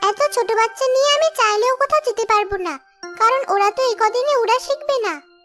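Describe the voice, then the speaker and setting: Faint music plays behind a female-sounding, cartoonish character voice at an extremely high pitch, moving at a moderate pace. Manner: calm, reasoning.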